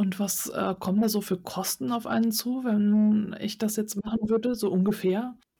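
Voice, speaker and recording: Somewhat breathy and fairly high-pitched, a woman speaks at a moderate pace with fairly even intonation and hardly any pauses. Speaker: podcast host. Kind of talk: interview. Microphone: too close to mic, overdriven.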